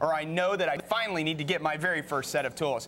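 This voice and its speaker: A man speaks at a fairly quick pace in a high voice. There is noticeable background noise. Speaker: TV host. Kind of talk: live home shopping TV pitch.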